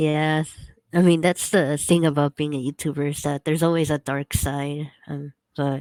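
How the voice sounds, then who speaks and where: Speaking at a moderate pace, a woman with a very deep, low voice keeps a monotone, flat delivery in a dry, close recording with no echo and a silent, very clean background. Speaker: YouTuber. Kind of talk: casual chat. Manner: loud.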